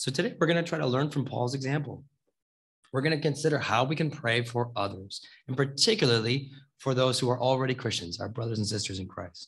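Against a quiet background, a man talks at a fairly quick pace with lively intonation and a somewhat breathy voice. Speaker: preacher. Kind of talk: sermon. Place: church. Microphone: podium.

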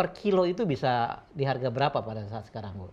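His pitch rises and falls across a very wide range. The voice belongs to a man. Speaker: TV show host. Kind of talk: live talk show hosting. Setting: studio. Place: studio.

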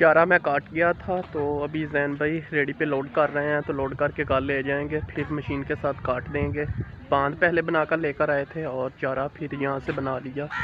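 A man talks at a fairly slow pace with a monotone, flat intonation. The sound is dry with no echo, over light background noise. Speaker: village vlogger. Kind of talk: casual vlog chat. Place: open country. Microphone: phone near.

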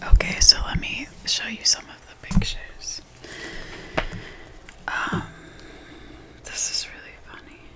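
A woman whispers at a fairly slow pace, with long, frequent pauses. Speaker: ASMR creator. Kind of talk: casual chatty talk to camera about a bookstore visit and book pictures. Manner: whispered, soft-spoken. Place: home room. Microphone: studio mic.

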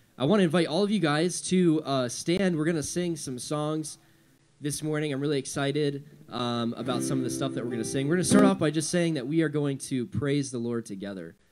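Loud background noise surrounds a man speaking at a fairly quick pace. His pitch varies in an ordinary way. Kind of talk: casual welcome to congregation. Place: church. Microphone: studio mic.

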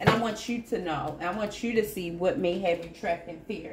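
At a moderate pace, a woman talks with ordinary pitch variation, with light background noise and audible room echo. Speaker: tarot reader. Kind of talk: tarot reading to viewers. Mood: warm, encouraging. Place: home room.

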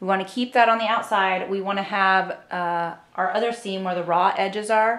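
Amid audible room echo, a woman talks at a moderate pace with fairly even intonation. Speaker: sewing instructor. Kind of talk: tutorial. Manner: casual, uses fillers like um. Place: home room.

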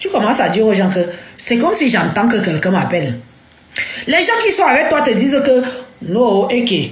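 A woman with a high voice speaks at a moderate pace, her pitch swinging very widely while her loudness stays very even, leaving long, frequent pauses amid audible room echo and noticeable background noise. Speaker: social media personality giving testimony. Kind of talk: live stream testimony.

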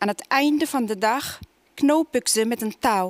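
A woman with an Arabic accent speaks very slowly with ordinary pitch variation. The sound is dry, without echo. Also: quiet background. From Tunisia. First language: Arabic (speaking Dutch). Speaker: poet. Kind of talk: poetry reading. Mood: calm, measured. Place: stage. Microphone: headset.

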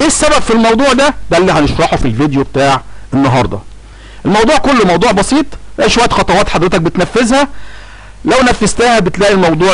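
A man talks at a very fast pace, his pitch swinging very widely while his loudness stays very even. Noticeable background noise is present. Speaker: tax filing tutorial YouTuber. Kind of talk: tutorial.

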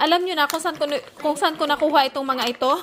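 A woman's very fast, high-pitched speech with noticeable background noise. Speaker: vlogger. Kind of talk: casual vlog talk. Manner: animated.

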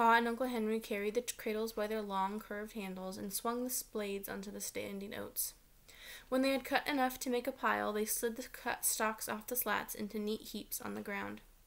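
A woman's monotone, flat delivery at a moderate pace. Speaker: teacher reading aloud. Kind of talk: read-aloud storytelling. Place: home room. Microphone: webcam.

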